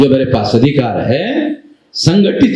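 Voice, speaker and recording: A man's voice with audible room echo. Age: 60s. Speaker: activist leader. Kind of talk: public speech.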